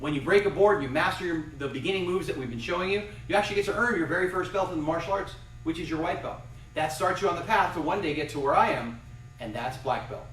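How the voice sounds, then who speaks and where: Over noticeable background noise and audible room echo, a man talks very fast in an energetic tone, his high pitch showing ordinary variation. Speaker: karate instructor. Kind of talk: live fitness and self-defense class.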